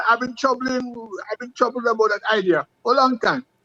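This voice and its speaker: Using a raised, projected voice, a man with an extremely high pitch speaks at a moderate pace with fairly even intonation in a dry, close sound with no echo. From Jamaica, Westmoreland. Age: 70s. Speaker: retired athlete. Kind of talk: interview. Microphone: phone mic, far from it.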